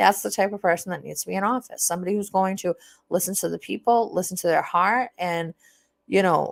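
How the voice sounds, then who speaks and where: A woman at a medium pitch with vocal fry and ordinary pitch variation, fairly quick in pace, the sound dry and close with no echo on a very clean recording with a silent background. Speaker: livestreamer and city council candidate. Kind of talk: live stream monologue. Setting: live stream. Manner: casual, profane.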